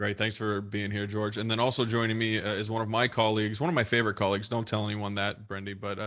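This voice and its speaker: A man with an American accent talks at a very fast pace in a fairly low voice, barely pausing and keeping a monotone, flat delivery. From US West Coast. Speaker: webinar host, deathcare software consultant. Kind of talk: webinar presentation. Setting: live online webinar.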